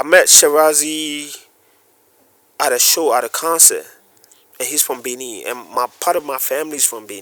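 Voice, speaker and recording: A man with a bright, sharp tone and a fairly high pitch talks at a moderate pace, with ordinary pitch variation, big swings in loudness and long, frequent pauses. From West Africa. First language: West African language. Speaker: photographer and video producer. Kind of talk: casual interview chat.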